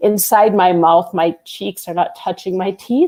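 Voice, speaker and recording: This woman has an unremarkable speaking voice, medium in pitch, with an American accent. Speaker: accent coach. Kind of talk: pronunciation tutorial. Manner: casual, explanatory.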